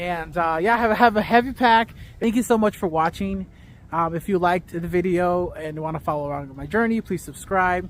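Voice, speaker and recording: A man with an American accent speaks at a fairly quick pace in a high voice, his pitch moving in an ordinary way. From US Midwest, Chicago. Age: 30s. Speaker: vlogger, military veteran. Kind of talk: vlog monologue. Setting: outdoors on a training hike. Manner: casual, with fillers.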